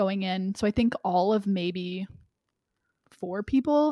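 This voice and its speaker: At a fairly slow pace, an ordinary speaking voice with an American accent carries lively intonation. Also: woman. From Atlanta area, US South. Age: 20s. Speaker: PR professional. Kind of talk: casual chat. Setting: studio, on video.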